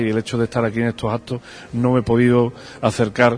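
This man has a medium pitch. He speaks at a very fast pace. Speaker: religious brotherhood leader. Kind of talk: interview and formal speech. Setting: parish church.

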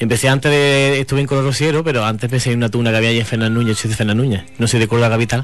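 Against noticeable background noise, a man rushes along at a very fast pace with hardly any pauses, his medium pitch, fairly even intonation and very even loudness holding throughout. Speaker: singer. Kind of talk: interview.

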